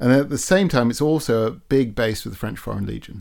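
A man with an English accent and ordinary pitch variation, on a very clean recording with a silent background. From England. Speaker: sailor and guest. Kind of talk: casual interview chat. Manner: conversational, humorous.

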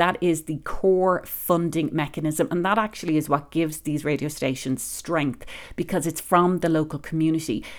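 A woman with an Irish accent speaks at a fairly quick pace and a fairly low pitch, with ordinary pitch variation, in a very clean recording with a silent background. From Ireland. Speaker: public radio managing editor. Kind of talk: interview.

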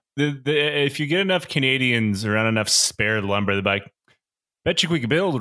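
A man speaks fairly quickly with lively intonation and a bright, sharp tone. The recording is very clean, with a silent background. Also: very even loudness. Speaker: podcast guest. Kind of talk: casual chat.

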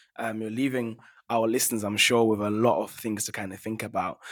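On a very clean recording with a silent background, a man speaks at a fairly quick pace. He has an ordinary speaking voice at a medium pitch. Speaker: podcast host. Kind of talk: interview conversation. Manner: thoughtful, hedging with filler words.

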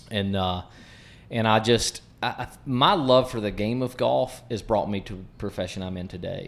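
Ordinary pitch variation and a moderate pace in a man's fairly low-pitched voice. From southwest Virginia, Appalachian Mountains. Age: 30s. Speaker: golf pro and coach. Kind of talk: interview. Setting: golf club.

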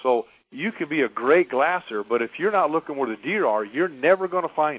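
This man has a normal speaking voice, pitched fairly high. He talks at a fairly quick pace with lively intonation. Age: 50s. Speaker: hunting guide. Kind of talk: interview.

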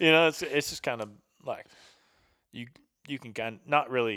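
Heard in a very clean recording with a silent background, a man talks in a Southern US accent with a bright, sharp tone. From US South, Tennessee near Chattanooga. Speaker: hunting photographer and military veteran. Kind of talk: casual chat. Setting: home kitchen.

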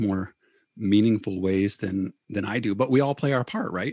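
The speaker talks at a moderate pace with an Upper Midwest accent and ordinary pitch variation. The sound is dry and close, with no echo. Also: man. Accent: Upper Midwest American. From Michigan, Battle Creek. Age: 40s. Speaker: church deacon, lay activist. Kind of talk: casual interview conversation. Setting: remote call from home.

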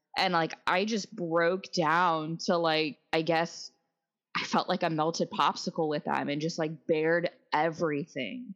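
The speaker talks at a fairly slow pace with fairly even intonation over a quiet background. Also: woman, fairly low pitch for a woman. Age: 30s. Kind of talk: interview.

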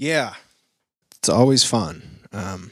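A man's bright, sharp tone with an American accent. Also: dry, close sound with no echo. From Maine, US. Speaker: musician. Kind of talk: casual interview.

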